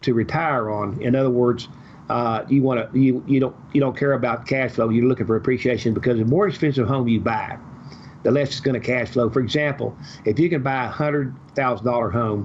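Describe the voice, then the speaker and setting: A man's fairly quick, fairly evenly intoned speech over noticeable background noise. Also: medium pitch for a man. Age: 70s. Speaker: real estate investor. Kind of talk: podcast interview. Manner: talks at length.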